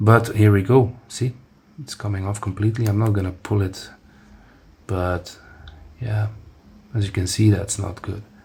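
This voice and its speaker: A man with a Dutch accent speaks in a somewhat breathy voice at a fairly low pitch, his intonation fairly even. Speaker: amateur tech reviewer. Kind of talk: product review demo. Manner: halting, many fillers and restarts.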